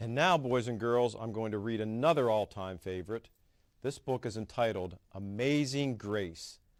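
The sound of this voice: Ordinary pitch variation across an unforced reading voice.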